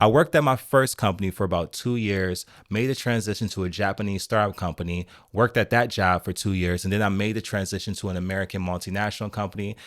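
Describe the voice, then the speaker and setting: With ordinary pitch variation and a fairly low voice, a man speaks at a fairly quick speed in an unremarkable speaking voice. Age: 30s. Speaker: software engineer and vlogger. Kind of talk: vlog monologue. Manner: conversational.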